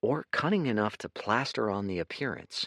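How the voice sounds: Lively intonation in a natural reading voice.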